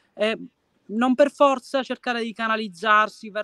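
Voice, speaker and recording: Against a quiet background, a man projects a raised voice with a bright, sharp tone at a moderate pace, the sound dry with no echo. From Sicily, province of Messina; Sicily. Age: 20s. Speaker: singer-songwriter and art teacher; interviewee. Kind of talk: video interview; interview answer. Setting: outdoors, at a Greek temple ruin. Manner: hesitant, many fillers. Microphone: video call.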